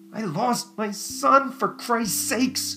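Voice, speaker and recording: Doing a put-on character voice, a man speaks at a fairly slow pace in a high pitch. Clear music plays in the background, along with hissing. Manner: hissed through clenched teeth.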